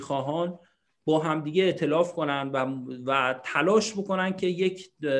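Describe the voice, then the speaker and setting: A man is speaking. His tone is bright and sharp. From Iran. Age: 30s. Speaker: political activist. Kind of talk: panel discussion.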